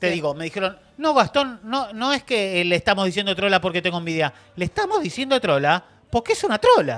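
Pitched high, a man talks at a fairly quick pace with very wide pitch swings. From Argentina. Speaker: streaming show host; show host. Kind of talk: casual panel chat. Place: studio. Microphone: studio mic.

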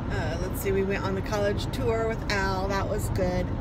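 Over loud background noise, a woman speaks at a moderate pace with a dry sound and no echo. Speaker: parent vlogger. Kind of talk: casual vlog chat. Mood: reflective, a bit worried. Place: car. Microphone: phone near.

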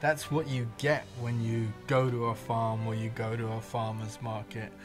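Clear music plays in the background. A man speaks over it at a moderate pace with fairly even intonation. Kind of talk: interview answer. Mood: relaxed, warm.

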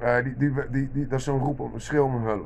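A man's voice at medium pitch. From Netherlands. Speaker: vlogger. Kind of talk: monologue rant. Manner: halting, many repeated words. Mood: irritated, ranting. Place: kitchen. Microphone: phone near.

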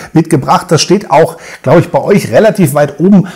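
Pitch variation in this voice is ordinary. Behind it, the background stays quiet. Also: man. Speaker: beer reviewer. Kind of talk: casual vlog chat. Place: home room.

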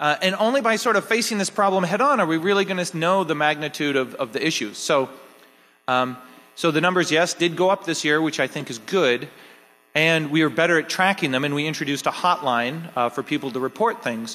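With a bright, sharp tone and lively intonation, a man talks at a fairly quick pace. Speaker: hacker conference founder and organizer. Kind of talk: closing ceremony speech. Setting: stage with audience. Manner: casual, filler-heavy. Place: hall. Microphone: podium.

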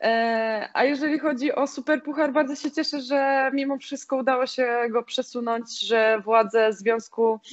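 In a quiet background, a woman speaks at a moderate pace. Her pitch varies in an ordinary way. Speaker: guest. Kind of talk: interview answer. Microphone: video call.

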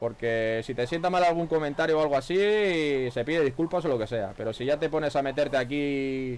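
Over light background noise, a man with a fairly high voice speaks at a fairly quick pace, with hardly any pauses and ordinary pitch variation. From Spain. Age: 40s. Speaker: gaming streamer. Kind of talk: live gameplay commentary. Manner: animated. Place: home room. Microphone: headset.

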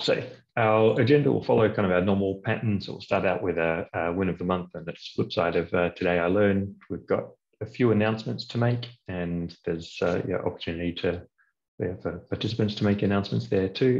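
A man with an unremarkable speaking voice talks fairly quickly at a fairly low pitch, with ordinary pitch variation against a quiet background. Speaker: meeting host. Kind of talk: online meeting presentation. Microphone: webcam.

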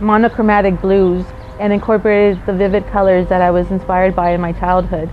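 A woman speaks in a flat monotone. Light noise sits in the background. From Houston, Texas, Mexican-American family. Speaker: artist. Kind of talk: interview testimony. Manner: hesitant, many fillers. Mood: reflective, earnest. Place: studio.

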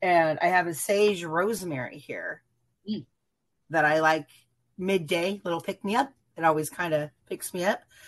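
Against a quiet background, a woman with a fairly low pitch speaks at a moderate pace, with ordinary pitch variation and long, frequent pauses. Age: 50s. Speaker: viewer guest; guest. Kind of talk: casual chat. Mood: warm, animated. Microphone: video call.

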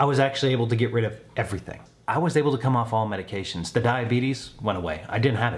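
A man at a medium pitch, somewhat breathy, at a very fast pace. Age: 40s. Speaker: weight-loss vlogger. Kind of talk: vlog monologue. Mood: upbeat, encouraging. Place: home room.

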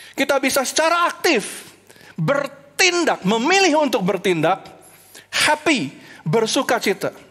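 Against a quiet background, a man speaks in a high pitch with an animated tone at a fairly slow pace. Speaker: preacher. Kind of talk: sermon delivered online to a church congregation. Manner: animated, earnest preaching that switches between Indonesian and English; rhetorical questions and repeated emphasis. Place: stage. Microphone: headset.

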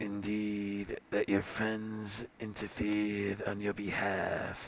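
Slowing to a very slow pace, a man puts on a raspy character voice with a fairly low pitch. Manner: formal, archaic.

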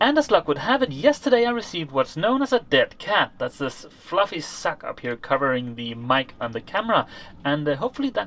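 Hardly pausing, a man talks with a high pitch and very wide pitch swings. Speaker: sailing vlogger. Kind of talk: casual vlog chat. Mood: cheerful, joking. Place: boat. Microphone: phone near.

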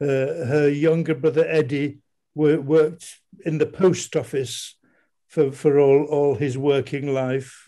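A man's fairly high-pitched voice in a Yorkshire accent, dark and mellow in tone, very slow, with monotone, flat intonation. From Leeds, Yorkshire. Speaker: audience member. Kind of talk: reminiscence. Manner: halting.

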